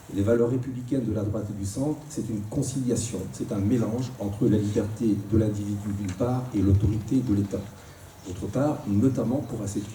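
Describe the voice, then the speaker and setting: With noticeable background noise and audible room echo, a man speaks at a fairly quick pace in a fairly low pitch and fairly even intonation. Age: 60s. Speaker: politician. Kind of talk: debate. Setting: live radio debate in a public hall. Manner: hesitant, frequent filler words.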